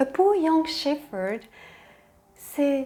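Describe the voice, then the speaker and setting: Music plays behind a high-pitched woman. Her intonation is lively, and her pace is very slow. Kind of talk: intro and commentary to camera. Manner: soft-spoken, tender.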